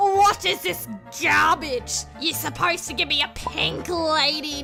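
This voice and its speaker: A woman's cartoonish character voice at a fairly slow pace, with clear music in the background. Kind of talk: animated storytime narration. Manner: annoyed, shouting.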